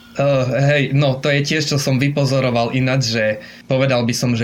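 Using a plain, everyday voice, a man talks at a medium pitch and moderate pace. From Slovakia, Košice. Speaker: expat living in Japan. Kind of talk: interview. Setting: remote call.

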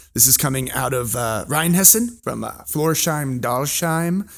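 The pitch rises and falls in an ordinary way. Overall, it is an ordinary speaking voice. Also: man. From California, US. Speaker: wine educator. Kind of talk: casual chat.

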